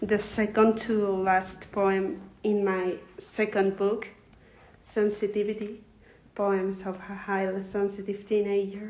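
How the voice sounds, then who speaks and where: Talking at a very slow pace in a Spanish accent, a woman keeps a flat monotone at a medium pitch, with audible room echo around her. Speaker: poet. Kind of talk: reading aloud. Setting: livestream. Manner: halting.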